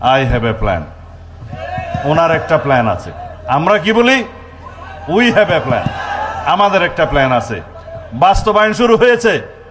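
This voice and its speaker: A man's high-pitched voice moves through very wide pitch swings amid noticeable background noise. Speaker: politician, home minister. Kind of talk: political rally speech. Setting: outdoors with microphone.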